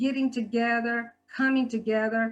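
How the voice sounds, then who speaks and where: Speaking at a fairly slow pace, a woman uses a fairly high pitch. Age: 60s. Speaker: guest speaker and health department worker. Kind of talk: talk at a church service. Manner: halting with frequent fillers and repetitions.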